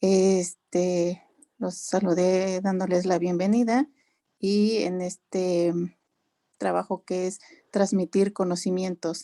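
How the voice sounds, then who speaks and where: A woman at medium pitch with a dark, mellow tone, monotone and flat, at a very slow pace with long, frequent pauses, on a very clean, silent recording that is dry and close with no echo. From Mexico, Ixmiquilpan, Hidalgo. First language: Otomi (Hñähñu) (speaking Spanish). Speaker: translator and interpreter. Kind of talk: panel discussion.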